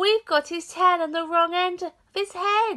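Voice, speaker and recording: Using a put-on character voice, a woman speaks at a moderate pace in a squeaky, extremely high pitch. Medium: read story.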